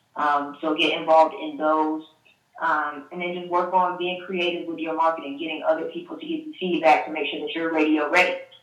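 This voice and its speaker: A woman talks at a fairly quick pace in a fairly low, flat, monotone voice, her loudness swinging widely. There is audible room echo. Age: 20s. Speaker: radio host and promotions staffer. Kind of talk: interview.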